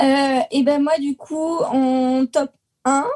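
The dark, mellow tone holds fairly even intonation in a dry, close sound with no echo. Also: woman. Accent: southern French. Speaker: podcast co-host. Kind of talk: casual chat. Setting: video call.

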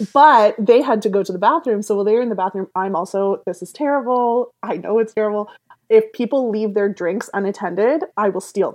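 A woman's unremarkable speaking voice, fairly high in pitch, at a fairly quick pace with ordinary pitch variation. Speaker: podcast guest sharing sex life stories. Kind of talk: casual chat.

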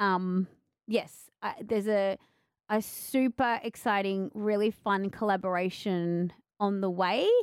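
On a very clean recording with a silent background, a woman with an Australian accent and medium pitch speaks at a fairly slow pace with very even loudness and fairly even intonation. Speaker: podcast host and author. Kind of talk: casual interview chat. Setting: radio station.

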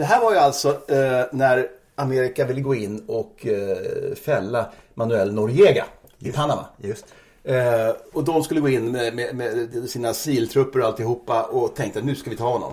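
Somewhat breathy, this man's medium-pitched voice moves at a moderate pace with ordinary pitch variation. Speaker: music journalist. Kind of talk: casual chat. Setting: at guest's home.

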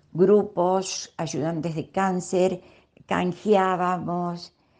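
A woman speaks with a dark, mellow tone. Her pitch sits fairly low for a woman. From Argentina, Córdoba city. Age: 80s+. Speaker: retired teacher and traveler. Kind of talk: recorded voice messages telling her story. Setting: WhatsApp audio messages.

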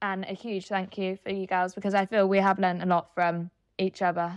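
Against a quiet background, a woman speaks at a medium pitch and moderate pace with monotone, flat intonation. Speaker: law student and volunteer chapter leader. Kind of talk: interview, casual.

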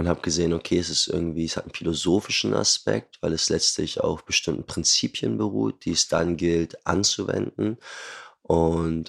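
This man speaks at a moderate pace in a very deep, low pitch, with lively intonation and vocal fry. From Germany, Hamburg. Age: 20s. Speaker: osteopath. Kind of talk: casual chat.

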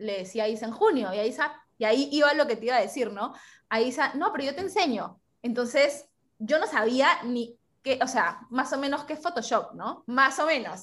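A woman talks at a moderate pace with lively intonation. Her pitch is high. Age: 20s. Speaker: mountain biker and business owner. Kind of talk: interview.

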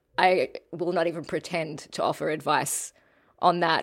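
Her pitch sits fairly low. She talks with an Australian accent. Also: very clean recording, silent background. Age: 30s. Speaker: podcast host. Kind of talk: casual interview chat.

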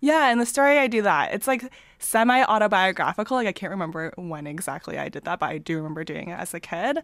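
In a Canadian accent, a woman at a medium pitch talks very fast, with very wide pitch swings and big swings in loudness. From small-town Ontario, Canada. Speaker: comic artist and data analyst. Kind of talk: interview conversation. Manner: hesitant, many fillers.

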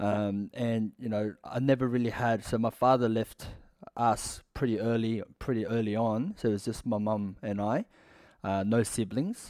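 In an Australian accent, a man with a medium pitch and a dark, mellow tone speaks at a moderate pace with fairly even intonation. The recording is very clean, with a silent background. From Western Sydney, Australia. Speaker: former prisoner, fitness business owner. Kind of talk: interview storytelling.

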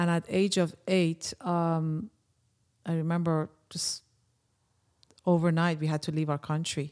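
A woman with a non-native accent, fairly low pitch and monotone, flat intonation, with long, frequent pauses, on a very clean recording with a silent background. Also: fairly slow pace. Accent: foreign. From Iran. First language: Persian. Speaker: personal development trainer. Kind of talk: casual interview. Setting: studio. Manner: halting.

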